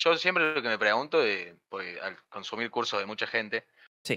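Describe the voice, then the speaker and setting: Against a quiet background, a man speaks in a Córdoba Argentine accent. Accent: Cordoba Argentine accent, noticeable. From Argentina, Río Cuarto, Córdoba; Córdoba, Argentina. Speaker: software development student; programming streamer. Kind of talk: casual chat. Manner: halting. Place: home room. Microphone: studio mic.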